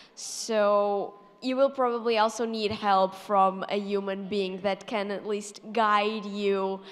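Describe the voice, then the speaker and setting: With a Portuguese accent, a woman speaks very slowly at a medium pitch in a monotone, flat intonation, with hardly any pauses. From Portugal. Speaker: math YouTuber. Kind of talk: panel Q&A. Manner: hesitant, many fillers.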